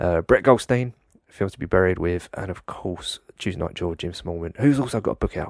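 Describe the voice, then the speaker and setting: The speaker uses a normal speaking voice with lively intonation at a moderate pace, recorded very cleanly against a silent background with a dry, close sound and no echo. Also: man. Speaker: podcast host. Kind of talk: interview discussion.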